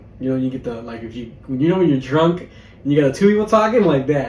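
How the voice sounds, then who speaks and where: A man talks at a very fast pace with a fairly high pitch. Noticeable background noise and audible room echo fill the recording. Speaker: podcast co-host. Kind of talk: casual chat. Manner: long run-on sentences.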